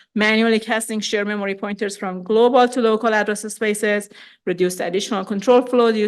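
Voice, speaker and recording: A woman talks very fast in a fairly high pitch. Her intonation stays flat and monotone against a quiet background. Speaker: conference speaker, national lab researcher. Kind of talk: conference talk.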